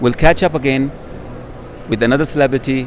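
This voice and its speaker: Flat, monotone delivery from a man at medium pitch, with noticeable background noise. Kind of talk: casual host interview at a convention.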